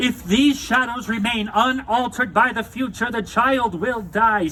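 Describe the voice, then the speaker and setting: Doing a put-on character voice at an extremely high pitch, a man speaks at a moderate pace over clear background noise. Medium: read story.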